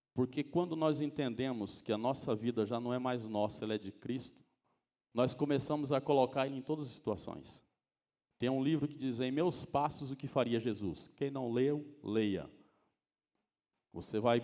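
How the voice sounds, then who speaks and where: A man with a dark, mellow tone speaks at a moderate pace, his medium pitch showing ordinary variation. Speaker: preacher. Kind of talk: sermon. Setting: church.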